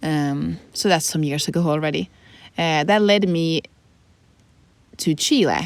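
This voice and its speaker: A woman with a Swedish accent speaks in a very deep, low voice at a fairly slow pace, with ordinary pitch variation and long, frequent pauses. The recording is very clean, with a silent background. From Finland. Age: 20s. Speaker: podcast co-host. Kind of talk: casual chat.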